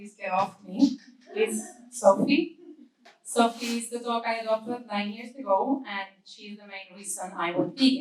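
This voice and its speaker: Her voice is fairly high in pitch. The woman sounds somewhat breathy. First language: Spanish. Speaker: vegan advocacy manager. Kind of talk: conference talk. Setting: stage with audience.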